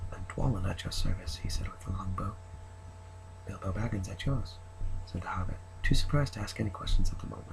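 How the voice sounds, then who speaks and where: Soft-spoken and very fast, the speech breaks into long, frequent pauses amid audible room echo and noticeable background noise. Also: man. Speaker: ASMR creator. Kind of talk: reading aloud.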